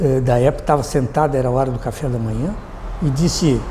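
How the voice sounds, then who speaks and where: A man's voice at a moderate pace, with audible room echo and noticeable background noise. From southern Brazil, Rio Grande do Sul (Alegrete). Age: 80s+. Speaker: retired army colonel and former mayor. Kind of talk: interview, personal recollections. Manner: halting, with repetitions.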